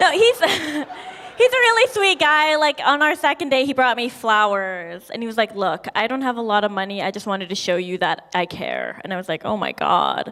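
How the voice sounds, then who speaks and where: A woman speaks at a moderate pace in a fairly high voice with very wide pitch swings, and noticeable background noise is present. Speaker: stand-up comedian. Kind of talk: stand-up. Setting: stage with audience. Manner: hesitant, many fillers.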